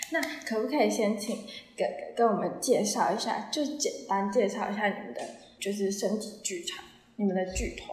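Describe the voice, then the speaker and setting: Moderate pace and ordinary pitch variation with long, frequent pauses, plus audible room echo and noticeable background noise. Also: woman. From Taiwan, Taichung. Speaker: podcast host. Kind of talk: casual chat.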